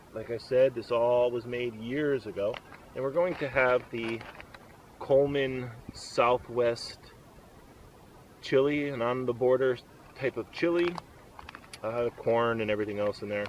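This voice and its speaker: A man's medium-pitched voice at a fairly slow pace, fairly even in intonation, with long, frequent pauses and noticeable background noise. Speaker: outdoors vlogger. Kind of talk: casual tutorial. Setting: outdoors at campsite. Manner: loud.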